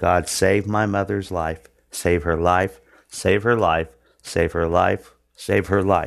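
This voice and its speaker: A man with an American accent talks at a very slow pace, in a very deep, low pitch and monotone, flat intonation. His loudness is very even, and the recording is very clean with a silent background. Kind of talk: testimony and sermon-style preaching. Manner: earnest, halting with fillers.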